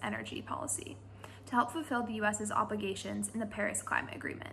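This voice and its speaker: Against light background noise, a woman with an American accent talks at a very fast pace. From US Northeast, Connecticut. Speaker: student intern. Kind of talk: scripted self-introduction. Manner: formal. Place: home room. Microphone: phone near.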